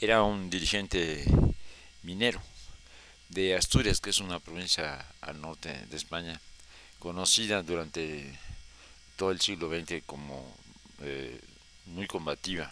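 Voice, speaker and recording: A man with a very deep, low pitch, vocal fry and a bright, sharp tone speaks at a fairly slow pace. He takes long, frequent pauses, and his loudness swings widely. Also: ordinary pitch variation. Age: 70s. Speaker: historian storyteller. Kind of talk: personal history talk. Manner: halting.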